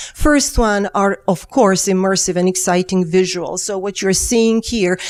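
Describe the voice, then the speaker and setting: A woman with a Serbian accent speaks at a medium pitch and a moderate pace, with ordinary pitch variation. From Serbia, Belgrade. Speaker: engineering professor. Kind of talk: keynote lecture. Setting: conference stage with audience. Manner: halting, with fillers.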